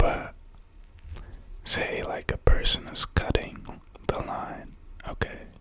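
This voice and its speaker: Whispered words come at a very slow pace, broken by long, frequent pauses. Background noise is noticeable throughout. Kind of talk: ASMR talk.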